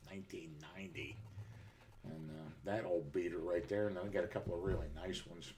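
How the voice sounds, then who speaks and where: A man's very deep, low voice at a very fast pace, with ordinary pitch variation, big swings in loudness and audible room echo. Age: 60s. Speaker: live streamer, military veteran. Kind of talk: casual chat.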